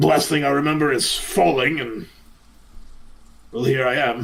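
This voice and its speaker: In a put-on character voice, raspy and weary in tone, the speaker moves at a moderate pace with ordinary pitch variation. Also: man, fairly high pitch for a man. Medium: actual play. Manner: gruff, world-weary.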